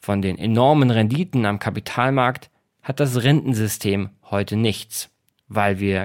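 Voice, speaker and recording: In a very clean recording with a silent background, a man with a plain, everyday voice speaks at a fairly slow pace and medium pitch with lively intonation. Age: 30s. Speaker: podcast host and author. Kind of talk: scripted narration; interview.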